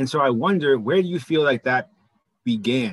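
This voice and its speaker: With a normal speaking voice, a man talks at a fairly quick pace with lively intonation. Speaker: podcast co-host. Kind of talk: interview.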